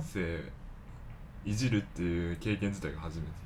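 The speaker is a man. There is audible room echo. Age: 20s. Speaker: photographer and videographer. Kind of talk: casual chat.

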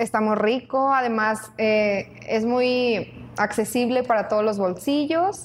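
A woman's fairly high voice at a very slow pace, with very even loudness. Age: 20s. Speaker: coffee shop operations coordinator and student. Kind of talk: casual chat. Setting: coffee shop.

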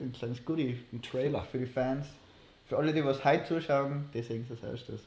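Somewhat breathy, a man speaks at a fairly quick pace in a medium-pitched voice with fairly even intonation. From Austria, Innsbruck. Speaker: podcast co-host, university student. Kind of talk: casual chat. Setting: livestream.

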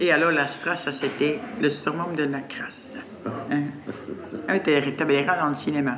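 At a fairly slow pace with long, frequent pauses, a woman speaks in a very deep, low pitch with ordinary pitch variation, amid audible room echo and noticeable background noise. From Brussels, Laeken. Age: 60s. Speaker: resident. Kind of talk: casual chat.

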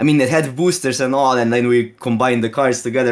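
Speaking with a Slovene accent, a man keeps a medium pitch, fairly even intonation and a fairly quick pace. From Slovenia, near Austrian border. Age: 30s. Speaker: Magic card game streamer. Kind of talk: casual interview.

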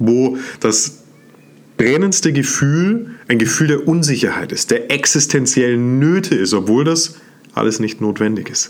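Animated in tone, a man talks at medium pitch. His pitch swings very widely. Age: 30s. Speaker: self-development podcast host. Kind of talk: motivational monologue.

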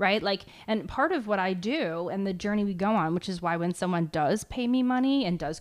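With an American accent, a woman in a normal speaking voice talks at a moderate pace and medium pitch, her intonation lively, on a very clean recording with a silent background. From US Northeast, New Jersey. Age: 30s. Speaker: mindfulness coach. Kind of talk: casual chat.

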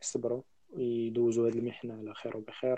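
A man's dark, mellow tone at a medium pitch and a fairly quick pace. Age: young. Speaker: podcast guest. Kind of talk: casual chat.

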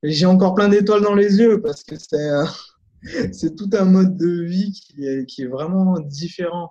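At a fairly slow pace, a man talks with a high pitch and ordinary pitch variation. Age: 40s. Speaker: memory and concentration coach. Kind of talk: interview.

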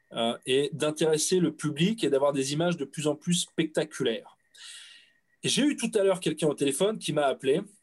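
The speaker keeps a moderate pace, using an ordinary speaking voice with ordinary pitch variation. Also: man, fairly high pitch for a man. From France. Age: 30s. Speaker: audiovisual rental business owner. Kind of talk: casual chat.

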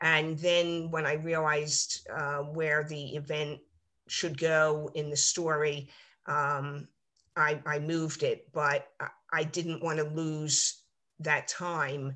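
A woman's very deep, low voice, bright and sharp in tone, monotone and flat, over a quiet background. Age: 60s. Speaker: retired nurse and novelist. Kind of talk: interview. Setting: video call. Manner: halting, many fillers.

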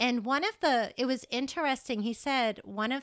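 A woman talks at a moderate pace with ordinary pitch variation and an unremarkable speaking voice. The recording is very clean, with a silent background. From Massachusetts. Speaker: elementary school teacher, mother. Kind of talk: casual interview chat.

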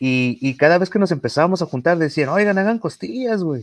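Very wide pitch swings mark a man's voice, heard dry and close with no echo on a very clean recording with a silent background. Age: 30s. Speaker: barbecue enthusiast and competition judge. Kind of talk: casual chat. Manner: halting, many repetitions and fillers.

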